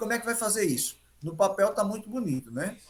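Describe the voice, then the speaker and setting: Against noticeable background noise, a man with a high pitch talks at a fairly quick pace with lively intonation. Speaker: health professional giving talk. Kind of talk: health talk to group of elderly.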